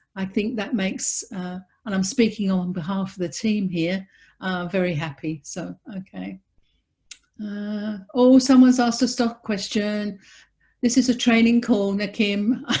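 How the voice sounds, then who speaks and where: In an English accent, a woman speaks at a moderate pace with a medium pitch. She sounds somewhat breathy, with ordinary pitch variation. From England. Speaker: business training host. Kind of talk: webinar training call.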